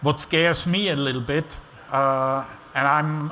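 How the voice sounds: In an Austrian accent, a man with a fairly high pitch and a bright, sharp tone speaks slowly with fairly even intonation.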